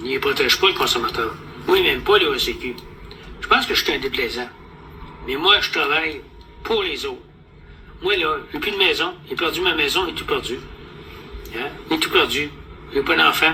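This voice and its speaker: A man speaks with a Quebec accent at a moderate pace. Long, frequent pauses break his speech, and background noise is noticeable. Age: 70s. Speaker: vlogger. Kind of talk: casual monologue. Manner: animated.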